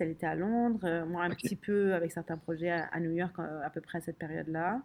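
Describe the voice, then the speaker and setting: A dark, mellow tone in a woman's fairly low voice. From Lebanon (Beirut), later Middle East and France. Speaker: design studio co-founder. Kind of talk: interview.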